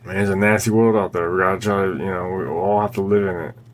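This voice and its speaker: Background noise is clearly heard. The talking proceeds fairly quickly. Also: man. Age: 40s. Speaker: political podcast host. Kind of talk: casual monologue. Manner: animated.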